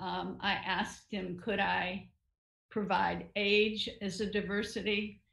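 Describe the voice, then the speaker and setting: A woman talks at a very slow pace with vocal fry. The background is quiet, though there is audible room echo. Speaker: novelist and retired writing professor; retired writing professor. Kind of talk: online interview. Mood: reflective, warm. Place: home room. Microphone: video call.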